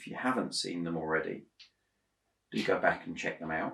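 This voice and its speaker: A man speaks quietly. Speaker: Lego building YouTuber. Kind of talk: casual building vlog. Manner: hesitant, many fillers; a bit quiet while concentrating.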